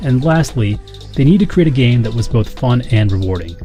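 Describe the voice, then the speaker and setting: Lively intonation from a man at medium pitch, very fast pace, music in the background. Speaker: gaming YouTuber. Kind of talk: video essay commentary.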